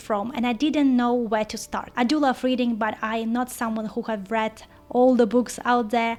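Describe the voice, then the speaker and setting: This speaker talks at a moderate pace with a non-native accent. The intonation stays fairly even. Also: woman. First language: not English. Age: 30s. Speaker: book vlogger. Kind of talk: casual vlog.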